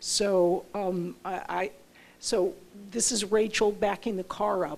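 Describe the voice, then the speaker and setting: Moving at a very slow pace, a woman speaks in a dark, mellow tone. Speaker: professor. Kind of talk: lecture. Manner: careful enunciation.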